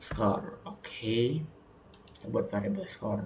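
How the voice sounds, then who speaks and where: Soft-spoken, a man talks at a very slow pace. Audible room echo can be heard. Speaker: student. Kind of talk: tutorial.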